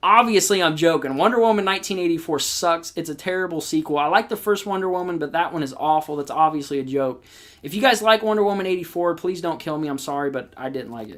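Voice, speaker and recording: The speech comes at a very fast pace with hardly any pauses. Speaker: horror movie youtuber. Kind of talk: livestream chat with viewers. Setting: live stream.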